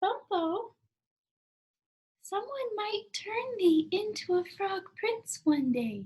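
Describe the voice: In a put-on character voice with an extremely high pitch, a woman speaks at a very slow pace, leaving long, frequent pauses.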